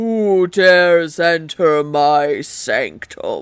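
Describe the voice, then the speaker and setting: A man speaks in a put-on character voice, resonant and high-pitched. His pace is very slow. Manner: commanding, menacing.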